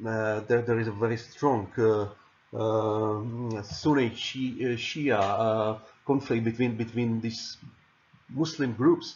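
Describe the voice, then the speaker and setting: A man with a Czech accent talks very slowly in a somewhat breathy voice with fairly even intonation. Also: medium pitch for a man. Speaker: political science lecturer. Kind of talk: lecture. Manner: halting, many repetitions and fillers.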